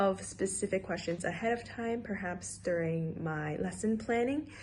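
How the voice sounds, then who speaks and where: Somewhat breathy and dark, mellow in tone, a woman speaks at a moderate pace with ordinary pitch variation. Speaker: student teacher. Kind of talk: self-reflection presentation.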